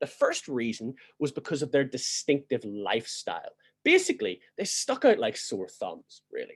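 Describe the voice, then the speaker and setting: The speaker has a Northern Irish accent. The pace is moderate. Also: man. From Northern Ireland. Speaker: church history teacher. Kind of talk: lecture.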